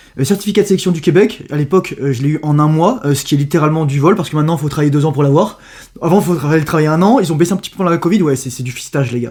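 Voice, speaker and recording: A man's fairly high voice at a very fast pace, lively in intonation, over noticeable background noise. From Paris, France. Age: 30s. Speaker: youtuber. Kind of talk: casual interview. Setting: at home.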